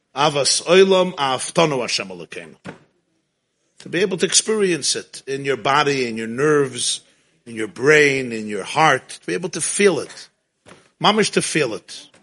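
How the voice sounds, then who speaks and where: A man with an American accent speaks at a moderate pace in a fairly high pitch. His tone is animated and warm, with very wide pitch swings. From Brooklyn, New York (Crown Heights). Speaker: rabbi lecturer. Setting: synagogue with live audience. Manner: impassioned, rising exhortation peppered with Hebrew and Yiddish; animated, warm and conversational with laughter.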